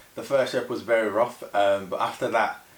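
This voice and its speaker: Very fast speech from a man at a medium pitch, with noticeable background noise. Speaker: powerlifting vlogger. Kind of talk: casual vlog voiceover.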